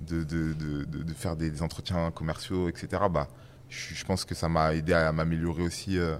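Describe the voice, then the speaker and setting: Very deep and low, a man's voice moves at a fairly slow pace with fairly even intonation. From western France. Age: 30s. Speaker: startup founder. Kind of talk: casual chat. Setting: studio.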